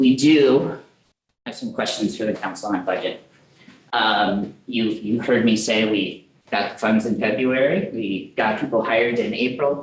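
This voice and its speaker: Amid audible room echo, a man speaks at a fairly slow pace. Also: medium pitch for a man, ordinary pitch variation. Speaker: program manager presenting to council. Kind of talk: meeting presentation.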